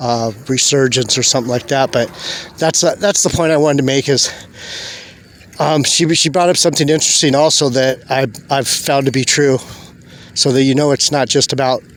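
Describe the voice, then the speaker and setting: A man talks at a fairly high pitch and moderate pace, with long, frequent pauses. His intonation is fairly even, his loudness very even, and there is noticeable background noise. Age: 60s. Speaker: religious video blogger. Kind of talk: casual monologue vlog. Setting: outdoors on a beach. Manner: halting.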